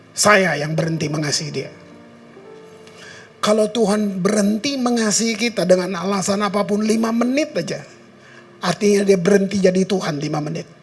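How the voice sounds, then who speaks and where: Over music in the background, a man with a high pitch speaks at a fairly quick pace. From Ambon, Maluku, Indonesia. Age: 70s. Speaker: pastor. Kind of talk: sermon. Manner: conversational, informal.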